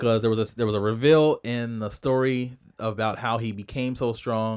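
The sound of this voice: Intonation that stays fairly even, in an unforced reading voice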